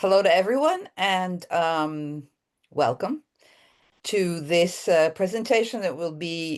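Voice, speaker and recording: A woman with an American accent speaks at a very slow pace, her pitch fairly low and her intonation lively. The background is quiet. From Italy, Rome. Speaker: artist and workshop teacher. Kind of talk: online workshop presentation.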